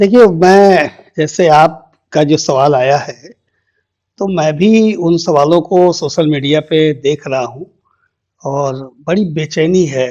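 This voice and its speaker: A man speaks with a dark, mellow tone. His pitch is fairly high, with ordinary variation. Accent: Bihari. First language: Bhojpuri (speaking Hindi). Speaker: politician. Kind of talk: interview.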